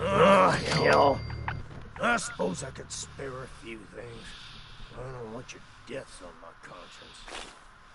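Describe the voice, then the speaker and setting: Using a put-on character voice, a gruff man speaks at a medium pitch and a fairly slow pace, with long, frequent pauses. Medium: video game. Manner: gruff, cursing.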